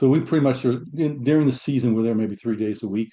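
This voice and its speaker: Against a quiet background, a man with a dark, mellow tone and medium pitch speaks very fast with fairly even intonation. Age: 60s. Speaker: retiree with Parkinson's, community partner. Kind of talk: casual interview. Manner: halting, with restarts.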